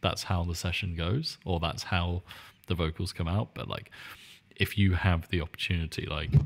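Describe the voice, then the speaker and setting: A man with a British accent and a very deep, low voice. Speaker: podcast host and music producer. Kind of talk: casual chat. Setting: video call. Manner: quieter than usual.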